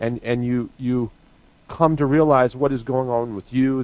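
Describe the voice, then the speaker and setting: With an American accent, a man talks at a moderate pace in a medium pitch, an ordinary speaking voice. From US Midwest, northeastern Missouri. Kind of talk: live talk radio discussion.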